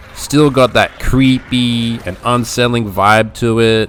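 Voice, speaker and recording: A man speaks with music in the background. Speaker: gaming YouTuber. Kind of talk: casual talk to camera. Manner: enthusiastic.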